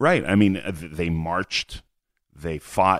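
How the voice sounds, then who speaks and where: A man with a Montreal accent speaks at a moderate pace in a very deep, low pitch with fairly even intonation, the sound dry and close with no echo and the recording very clean over a silent background. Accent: Canadian English, Montreal. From Canada, Montreal. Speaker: blogger. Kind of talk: interview conversation. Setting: in person, venue where they host Shabbat events. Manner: repetitive, halting starts.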